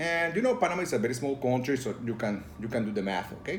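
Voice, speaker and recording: This man speaks at a medium pitch and a fairly quick pace. His intonation is lively. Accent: Spanish. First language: Spanish. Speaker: tabletop role-playing game reviewer. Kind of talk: casual video review. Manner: halting, many fillers.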